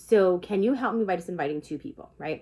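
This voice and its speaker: An ordinary speaking voice, a woman with lively intonation at a moderate pace. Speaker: direct sales consultant. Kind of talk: informal talk to camera. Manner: casual.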